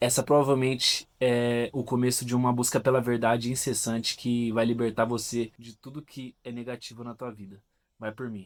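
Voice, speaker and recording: Monotone, flat intonation marks a man speaking at a moderate pace and a medium pitch. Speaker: philosophy and self-help video host. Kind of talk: casual talk to camera, explanatory monologue. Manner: conversational, direct address, with hesitations and restarts.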